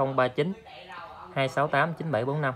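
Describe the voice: Speaking at a moderate pace, a man with a fairly high pitch keeps his intonation fairly even.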